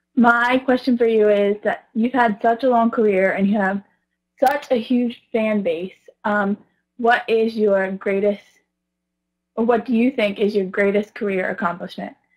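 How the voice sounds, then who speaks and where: A woman with a plain, everyday voice speaks at a fairly high pitch. Her intonation is fairly even and her pace fairly slow. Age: 20s. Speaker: fan asking a question. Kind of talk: recorded video question.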